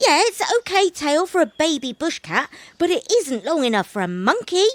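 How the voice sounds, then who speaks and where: A woman uses a put-on character voice at an extremely high pitch. She speaks at a moderate pace with very wide pitch swings. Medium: read story. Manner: sly, laid-back, teasing.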